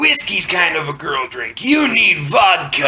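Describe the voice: Shouting in a put-on character voice with very wide pitch swings, someone keeps a moderate pace while faint music plays in the background. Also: man, high pitch for a man.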